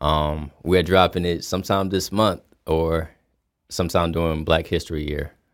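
A man's very deep, low voice with an American accent and monotone, flat intonation, in a very clean recording with a silent background. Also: moderate pace. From US South, Fayetteville, North Carolina. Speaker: rapper. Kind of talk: casual interview chat. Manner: halting, many fillers and repetitions.

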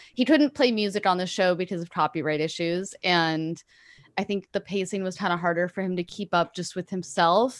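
Medium in pitch, a woman speaks with a Californian accent at a fairly quick pace, using ordinary pitch variation. The sound is dry and close, with no echo. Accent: Californian American English. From Los Angeles, California. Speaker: musician and podcaster. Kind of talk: interview conversation.

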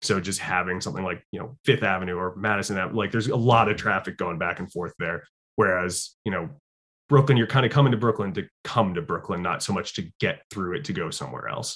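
Speaking at a fairly quick pace, a man with a fairly low pitch and ordinary pitch variation uses a plain, everyday voice. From Connecticut (Fairfield). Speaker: social media creator on city history and tour guide. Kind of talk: interview, casual chat.

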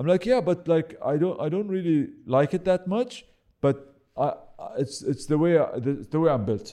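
A man with an Arabic accent, a high pitch, a dark, mellow tone, lively intonation, and a moderate pace. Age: 40s. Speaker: real estate professional. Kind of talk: casual chat. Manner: halting, many repetitions.

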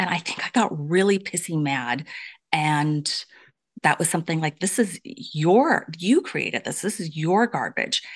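In a quiet background, a woman with a normal speaking voice talks fairly slowly at a fairly low pitch, her intonation lively. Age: 50s. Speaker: author and abuse survivor advocate. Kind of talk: interview testimony.

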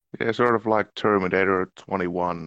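A man with a Finnish accent speaks in a very deep, low voice with fairly even intonation. The sound is dry and close, with no echo. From Finland. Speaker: actor. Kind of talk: casual chat.

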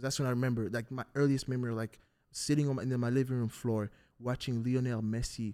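A man's medium-pitched voice with a dark, mellow tone, in a very clean recording with a silent background. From Africa. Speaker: football podcast host. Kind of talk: casual chat.

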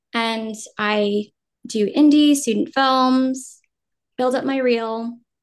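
A high-pitched woman with a General American accent speaks at a very slow pace with ordinary pitch variation and long, frequent pauses. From New Jersey, US Northeast. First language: Vietnamese. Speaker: actor. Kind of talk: casual interview.

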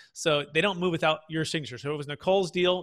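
In a very clean recording with a silent background and a dry, close sound with no echo, a man with a West Coast US accent speaks at a very fast pace with a fairly high pitch and a bright, sharp tone. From Northern California, Bay Area (Fremont). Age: 30s. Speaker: tax strategy firm founder, podcast host. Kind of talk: interview, explaining finance.

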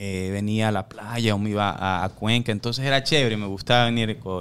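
A normal speaking voice from a man, medium-pitched, with ordinary pitch variation. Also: very clean recording, silent background. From New York, USA (Ecuadorian-born, raised in US from age 4). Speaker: boxing coach. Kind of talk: casual chat.

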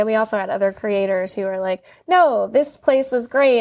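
A woman with an American accent speaks in an unremarkable speaking voice at medium pitch and a moderate pace, on a very clean recording with a silent background. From Virginia, US. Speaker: attorney, author, card game co-founder. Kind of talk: interview chat.

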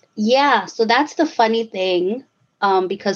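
A woman speaks with a fairly high pitch and lively intonation in an ordinary speaking voice. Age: 30s. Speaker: quilting student. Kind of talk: casual chat.

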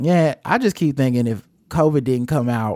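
A man at a moderate pace, a plain, everyday voice. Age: 40s. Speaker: podcast host, movie reviewer. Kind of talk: casual chat. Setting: remote recording.

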